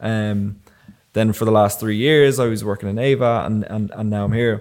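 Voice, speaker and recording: Fairly even intonation at a moderate pace with an Irish accent, on a very clean recording with a silent background. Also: man. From Ireland, Enniskillen and Wicklow. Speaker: videographer. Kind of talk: casual chat.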